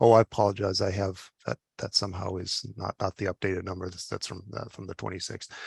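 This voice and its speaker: A man with a very deep, low voice talks very fast in a somewhat breathy, fairly even tone, recorded dry and close with no echo against a quiet background. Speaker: physician and public health official. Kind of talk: webinar presentation. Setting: webinar. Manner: halting, many fillers.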